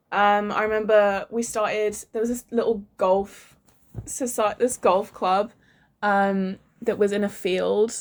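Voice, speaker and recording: In an English accent, the speaker talks at a very slow pace with monotone, flat intonation. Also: woman, medium pitch for a woman. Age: 18. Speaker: vlogger. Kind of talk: casual chat.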